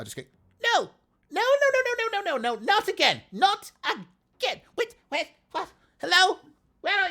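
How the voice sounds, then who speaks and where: A put-on character voice, squeaky and at an extremely high pitch, moves along at a moderate pace. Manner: panicked, confused.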